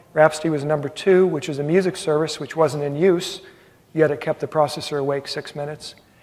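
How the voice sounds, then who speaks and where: Fairly quick, fairly even speech from a man with a fairly high voice, over noticeable background noise. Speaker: technical workshop presenter. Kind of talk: technical workshop presentation. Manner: fast.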